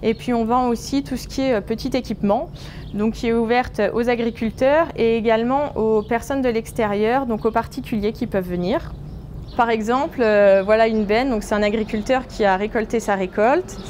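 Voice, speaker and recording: This woman's fairly high voice moves along at a moderate pace. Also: fairly even intonation. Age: 20s. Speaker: grain silo manager. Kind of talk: workplace interview. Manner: hesitant, many filler sounds.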